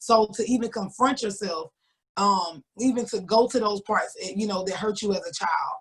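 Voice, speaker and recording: This woman's voice sits fairly high and is somewhat breathy, with ordinary pitch variation. She speaks at a moderate pace. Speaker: author. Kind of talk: interview.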